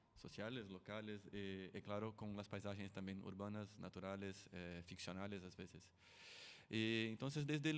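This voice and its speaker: A man's fairly low voice with a Brazilian accent, at a moderate pace. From Brazil, São Paulo. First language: Portuguese (speaking Spanish). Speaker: sound artist. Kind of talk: artist presentation at forum. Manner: halting, many fillers.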